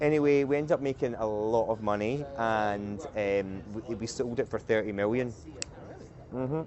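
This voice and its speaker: A man in a Scottish accent at a moderate pace, with noticeable background noise. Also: medium pitch for a man, ordinary pitch variation. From Scotland, island off the west coast. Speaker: company CEO, podcast guest. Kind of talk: casual interview conversation. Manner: halting, many restarts.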